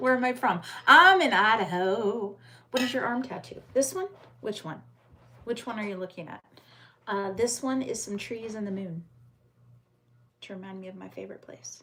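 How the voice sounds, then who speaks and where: Her fairly high voice has lively intonation, big swings in loudness and long, frequent pauses as the woman speaks. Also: moderate pace. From United States. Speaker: livestreamer. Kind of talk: casual live-stream chat reading viewer comments.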